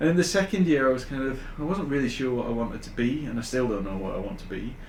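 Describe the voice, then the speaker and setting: A man with a northern English accent talks at a very fast pace in a medium pitch. Audible room echo surrounds his voice. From northern England, Huddersfield. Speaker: AI consultant. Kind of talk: podcast interview. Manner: hesitant, many fillers.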